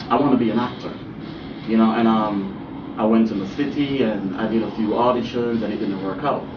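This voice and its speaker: A man at medium pitch with a Jamaican accent is heard with audible room echo and noticeable background noise. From Jamaica, Kingston. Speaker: actor and model. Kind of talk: interview. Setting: studio. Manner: casual, filler-heavy.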